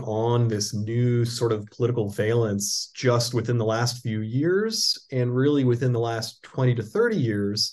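A man's voice comes across as somewhat breathy. The background is quiet. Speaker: law professor. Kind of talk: interview.

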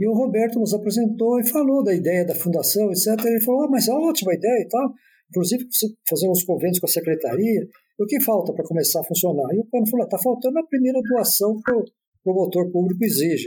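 A man's high-pitched, dark and mellow voice, very fast, with lively intonation and very even loudness. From Brazil, Campinas (São Paulo state). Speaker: retired agronomist and former agricultural college director. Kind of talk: interview, reminiscing about his life. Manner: halting, with frequent word repetitions.

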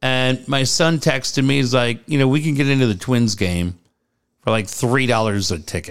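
A man with an American accent, medium pitch and ordinary pitch variation, animated in tone, at a moderate pace and very even loudness. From San Diego, California. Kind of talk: casual chat.

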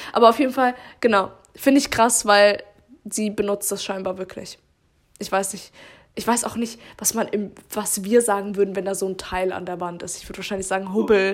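At a moderate pace, a woman speaks at medium pitch with fairly even intonation and long, frequent pauses. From Baden-Württemberg, Germany. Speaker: podcast co-host. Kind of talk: casual chat.

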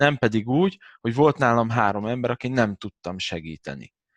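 Over a quiet background, a man has an ordinary speaking voice with lively intonation at a fairly quick pace, in a dry, close sound with no echo. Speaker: massage therapist and former fitness coach. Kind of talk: casual chat.

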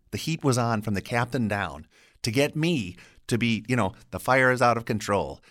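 With a normal speaking voice and an American accent, a man talks at a moderate pace and medium pitch with lively intonation. The recording is very clean, with a silent background. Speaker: voiceover artist and English teacher. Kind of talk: casual interview chat. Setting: studio. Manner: talkative, chatty.

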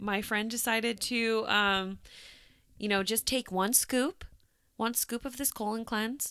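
Speaking at a fairly slow pace, a woman uses a fairly high pitch and a bright, sharp tone, captured on a very clean recording with a silent background. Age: 30s. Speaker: podcast co-host, realtor. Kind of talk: casual chat.

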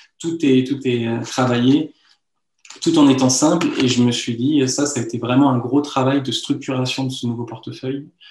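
Moderate pace and monotone, flat intonation. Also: man, medium pitch for a man. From France, Lyon. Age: 30s. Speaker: magician. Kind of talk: interview. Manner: halting.

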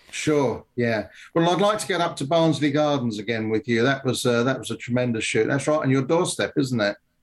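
Speaking with a southern English accent, a man keeps to a medium pitch with ordinary variation. He talks at a fairly quick pace with hardly any pauses. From England, London (Wimbledon). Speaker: gunmaker. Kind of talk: casual interview. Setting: remote call. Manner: halting, many fillers.

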